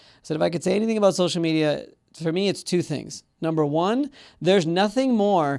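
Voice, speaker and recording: A man's high-pitched voice at a fairly quick pace, on a very clean recording with a silent background. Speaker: podcast host, entrepreneur and business broker. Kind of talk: podcast interview talk. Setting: studio.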